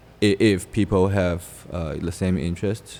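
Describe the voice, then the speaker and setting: Here a man speaks with a very deep, low voice and ordinary pitch variation. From China, Fujian province. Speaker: company founder. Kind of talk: interview. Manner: halting.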